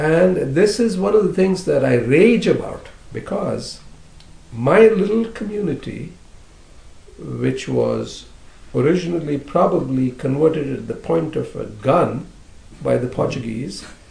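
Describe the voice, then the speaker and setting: Speaking fairly slowly with long, frequent pauses, a man with a Goan accent uses a fairly high pitch and lively intonation, with audible room echo. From India, southern coastal Karnataka. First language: Konkani. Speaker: poet. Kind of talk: interview. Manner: hesitant, many fillers.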